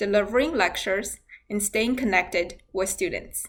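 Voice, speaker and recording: Speech comes at a fairly slow pace with a non-native accent. Pitch variation is ordinary. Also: woman. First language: not English. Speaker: university nursing instructor. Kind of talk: scripted instructional talk. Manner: formal.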